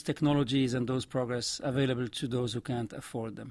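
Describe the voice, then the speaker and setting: A man at medium pitch with a French accent. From Morocco. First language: Arabic and French. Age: 60s. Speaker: vaccine scientist and adviser. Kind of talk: interview.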